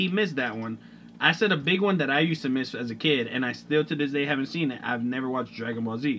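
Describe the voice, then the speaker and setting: This voice moves at a very fast pace with lively intonation. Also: man, medium pitch for a man. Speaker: podcast co-host. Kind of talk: casual chat.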